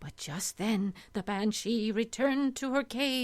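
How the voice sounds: This natural reading voice moves up and down in pitch in an ordinary way.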